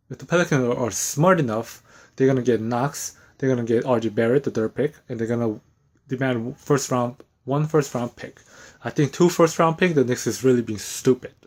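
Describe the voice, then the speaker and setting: The recording is very clean and the background silent. A man talks with ordinary variation in pitch. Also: medium pitch for a man. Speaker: sports fan vlogger. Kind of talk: opinion rant. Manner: fast; halting, repetitive restarts.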